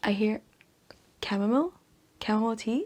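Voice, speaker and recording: A woman speaks at a fairly quick pace in a fairly high pitch. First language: not English. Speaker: book vlogger. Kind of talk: storytelling; casual chat. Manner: animated.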